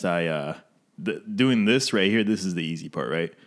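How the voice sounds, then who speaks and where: An ordinary speaking voice: a man with an American accent and fairly low pitch talks at a moderate pace with ordinary pitch variation, on a very clean recording with a silent background. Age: 20s. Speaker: podcast host. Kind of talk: casual chat. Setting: audio-only recording, no cameras.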